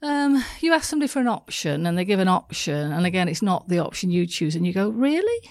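Speaking very fast with hardly any pauses, a woman with a slight northern English accent has a warm tone, medium pitch and very wide pitch swings. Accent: northern English, soft. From northern England. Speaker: business coach and speaker. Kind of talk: casual interview chat. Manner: warm, laughs often.

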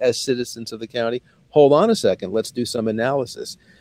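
A man with a dark, mellow tone speaks at a very fast pace with ordinary pitch variation, in a dry, close sound with no echo. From Brooklyn, New York. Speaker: local town board member. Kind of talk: interview. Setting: video call.

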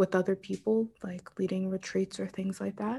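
The voice has a dark, mellow tone, flat, monotone intonation and an American accent. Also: woman. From Pittsburgh, Pennsylvania, US. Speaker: writer and spiritual teacher. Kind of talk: interview conversation. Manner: hesitant, many fillers.

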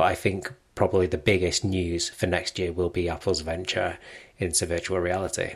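A man speaks with a very deep, low pitch, a somewhat breathy sound and a monotone, flat intonation. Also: moderate pace. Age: 20s. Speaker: Apple news blogger and journalist. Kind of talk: casual interview chat.

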